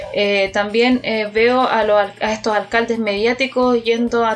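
Noticeable background noise behind a woman's fairly high, monotone, flat voice. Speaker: radio show panelist. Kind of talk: casual political discussion. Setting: radio studio with live stream.

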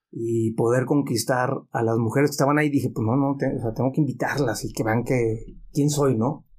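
A man speaks at a moderate pace with hardly any pauses, his medium-pitched voice somewhat breathy, his loudness very even and his intonation fairly even. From Mexico, Guadalajara (childhood partly in Mexicali). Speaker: business consultant. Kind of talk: casual interview, personal testimony.

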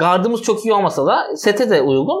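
Over noticeable background noise, a man with a high pitch speaks fairly quickly, his pitch swinging very widely. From Istanbul, Turkey. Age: 30s. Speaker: actor. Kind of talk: casual chat. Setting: home living room.

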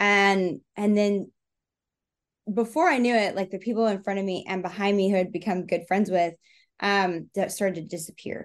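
A woman uses an ordinary speaking voice at medium pitch. She talks at a moderate pace with fairly even intonation. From Texas. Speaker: speed painter and performance artist. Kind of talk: interview, casual chat.

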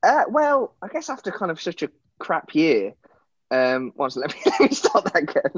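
A man speaks with an East Midlands accent at a high pitch. His pitch swings very widely. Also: moderate pace. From England, Nottingham. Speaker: actor. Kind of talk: interview.

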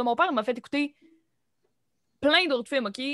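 The speaker has a Quebec accent and a bright, sharp tone, talking at a fairly quick pace. The sound is dry and close, with no echo. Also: woman. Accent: Québécois French. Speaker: cégep student, podcast host. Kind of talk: casual chat.

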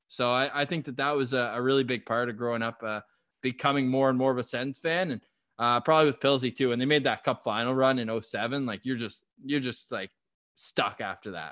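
In a Canadian accent, an unremarkable speaking voice moves at a fairly quick pace with fairly even intonation over a quiet background. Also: man, medium pitch for a man. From Ottawa, Canada. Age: 20s. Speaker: sports podcaster. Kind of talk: casual chat.

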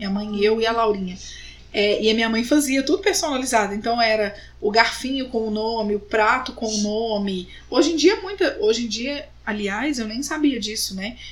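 A woman speaks at a moderate pace with a fairly high pitch. Audible room echo surrounds her voice. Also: ordinary pitch variation. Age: 30s. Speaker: podcast host. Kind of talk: casual chat.

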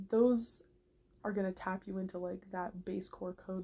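Somewhat breathy with a dark, mellow tone, a woman talks at a moderate pace with medium pitch and fairly even intonation. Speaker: podcast host. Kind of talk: casual monologue. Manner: rambling with many fillers.

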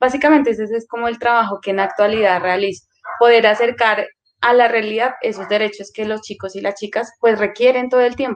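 An unremarkable speaking voice from a woman, fairly high in pitch, with fairly even intonation and a fairly quick pace. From Colombia, Putumayo. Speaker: social worker, youth center coordinator. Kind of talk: interview.

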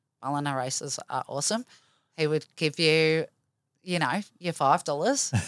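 With an Australian accent, a woman talks at a moderate pace with lively intonation, her voice dry and close with no echo on a very clean recording against a silent background. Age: 40s. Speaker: cancer survivor. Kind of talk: interview, personal story.

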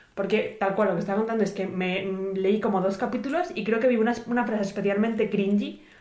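A woman speaks at a very fast pace. Audible room echo and noticeable background noise fill the recording. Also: medium pitch for a woman, ordinary pitch variation. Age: 20s. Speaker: podcast co-host. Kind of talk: casual chat.

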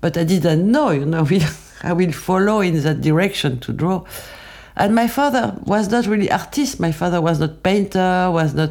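In a very clean recording with a silent background, a woman with a fairly low pitch talks at a moderate pace and very even loudness. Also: lively intonation. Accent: French. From France, Paris region. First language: French. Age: 70s. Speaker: makeup artist. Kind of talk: testimony. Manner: halting.

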